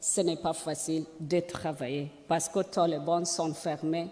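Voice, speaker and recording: A woman speaks at a very slow pace. Her voice sits at a fairly low pitch. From Afghanistan. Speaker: journalist and women's rights activist. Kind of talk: speech. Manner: halting, searching for words.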